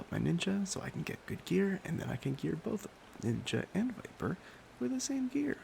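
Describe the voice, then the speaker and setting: Soft-spoken and relaxed in tone, a man talks at a moderate pace. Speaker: ASMR YouTuber. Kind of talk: soft-spoken ASMR gaming chat. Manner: soft-spoken, relaxed.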